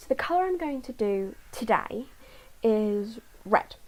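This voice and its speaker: Quiet and fairly high, a woman's voice carries lively intonation. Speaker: YouTuber reading a novel aloud. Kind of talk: casual vlog chat. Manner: quiet, low volume.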